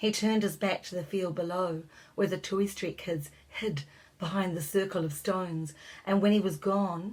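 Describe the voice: Text read aloud plainly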